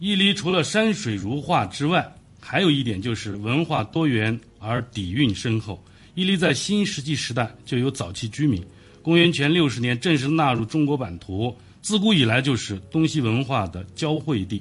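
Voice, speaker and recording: At a moderate pace, a man talks in a somewhat breathy voice of medium pitch. His pitch swings very widely over a quiet background. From Ili, Xinjiang. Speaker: local government official. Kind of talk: studio interview. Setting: radio studio.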